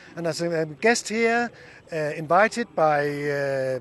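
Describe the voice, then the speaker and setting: Lively intonation runs through a man's high pitch. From Denmark. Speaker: youth organization executive. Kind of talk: interview. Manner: halting, many filler sounds.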